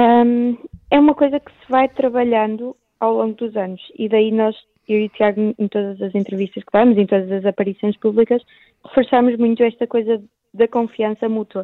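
A plain, everyday voice, a woman's fairly high speech moves at a moderate pace with fairly even intonation but big swings in loudness. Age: 18. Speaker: blind surfing athlete. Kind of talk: radio interview. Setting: phone call.

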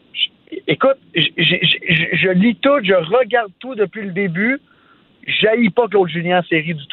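Over noticeable background noise, a man speaks very slowly in a high voice with lively intonation. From Quebec, Sainte-Martine near Montreal. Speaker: entrepreneur, radio commentator. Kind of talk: casual chat.

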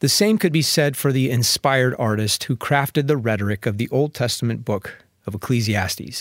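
Here a man of medium pitch talks at a moderate pace in an unremarkable speaking voice. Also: very clean recording, silent background. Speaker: radio preacher. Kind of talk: sermon. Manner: formal.

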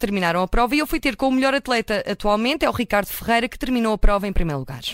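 A woman speaks at a very fast pace, fairly high in pitch with lively intonation. The sound is dry and close, with no echo. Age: 30s. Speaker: radio reporter. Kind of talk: radio feature report.

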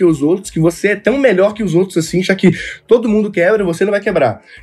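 With ordinary pitch variation, this man delivers his words at a very fast pace. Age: 20s. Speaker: young entrepreneur. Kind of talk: casual interview chat.

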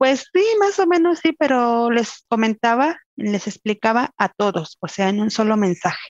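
Recorded dry and close with no echo, a woman speaks at a fairly high pitch and a moderate pace. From Mexico, Querétaro. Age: 30s. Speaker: mother, house cleaner. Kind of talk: interview.

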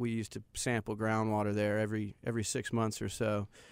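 A man with a medium pitch talks at a very fast pace with an American accent. The recording is very clean, with a silent background. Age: 30s. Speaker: environmental consultant. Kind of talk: interview.

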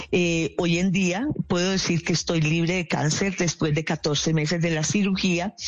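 Her voice fairly low for a woman and somewhat breathy, she speaks at a fairly slow pace with fairly even intonation. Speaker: guest. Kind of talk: radio interview.

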